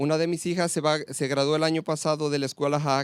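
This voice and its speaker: A man with a Spanish accent talks at a very fast pace. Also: dry, close sound with no echo. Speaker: school groundskeeper and soccer coach. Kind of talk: prepared speech. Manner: halting.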